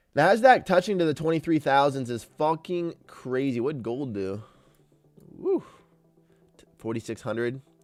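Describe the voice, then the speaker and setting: Music plays behind a man speaking at a fairly high pitch with lively intonation. His pace is fairly slow, with long, frequent pauses. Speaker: day trader streamer. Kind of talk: live stream chat while trading. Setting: live stream. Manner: animated.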